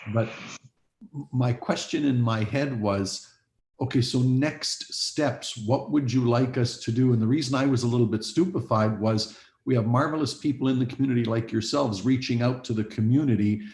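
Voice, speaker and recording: The voice is somewhat breathy and moves at a moderate pace with ordinary pitch variation. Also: man, medium pitch for a man. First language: not English. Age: old. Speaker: police board chair. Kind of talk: board meeting discussion. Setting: video call.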